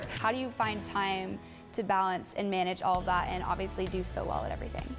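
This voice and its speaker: Music in the background behind a woman's fairly quick speech. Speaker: sports reporter. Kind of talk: sports news anchor read.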